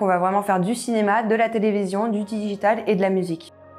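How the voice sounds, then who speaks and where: Monotone, flat intonation at a fairly quick pace. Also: woman. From Paris, France. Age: 20s. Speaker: video producer and co-founder. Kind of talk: self-introduction video.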